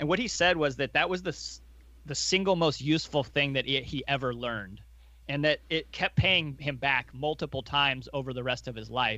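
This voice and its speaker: With a bright, sharp tone and vocal fry, a man speaks at a moderate pace with ordinary pitch variation against a quiet background. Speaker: podcast co-host, investor. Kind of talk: casual chat about investing.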